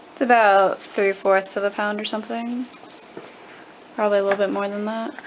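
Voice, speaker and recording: A woman speaks at a fairly quick pace with medium pitch and fairly even intonation. Her speech has long, frequent pauses, and noticeable background noise runs underneath. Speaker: camera operator. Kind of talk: casual chat. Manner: fast.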